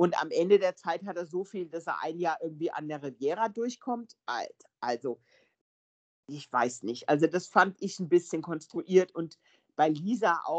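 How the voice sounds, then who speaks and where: A woman talks fairly slowly at a fairly low pitch in a plain, everyday voice, with big swings in loudness. The sound is dry and close, with no echo. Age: 50s. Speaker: film podcast guest. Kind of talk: casual chat.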